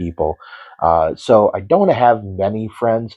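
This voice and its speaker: A quiet man with an American accent talks at a fairly slow pace. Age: 50s. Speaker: horror storyteller. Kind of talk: personal introduction monologue. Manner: halting, many fillers.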